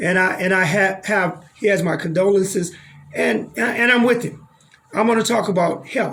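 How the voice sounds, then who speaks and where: Over music in the background and audible room echo, a man with an American accent talks at a moderate pace in a high voice with ordinary pitch variation. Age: 60s. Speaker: doctor and health show host. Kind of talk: radio talk show conversation.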